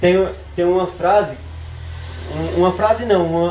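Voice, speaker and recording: Amid audible room echo and noticeable background noise, a high-pitched man speaks with monotone, flat intonation. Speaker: preacher. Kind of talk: sermon.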